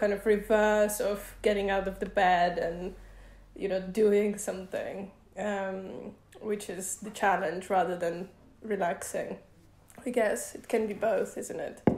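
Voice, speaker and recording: Audible room echo surrounds the voice. The delivery is fairly slow and monotone, with flat intonation. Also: woman. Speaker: guest. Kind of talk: interview answer. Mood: relaxed, cheerful. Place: home room.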